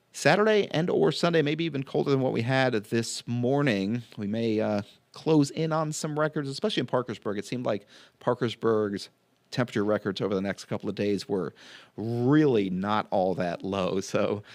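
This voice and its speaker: This man has an ordinary speaking voice at medium pitch. He talks at a moderate pace. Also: lively intonation, very clean recording, silent background. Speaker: TV meteorologist. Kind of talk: weather forecast. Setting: studio. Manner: casual with frequent fillers.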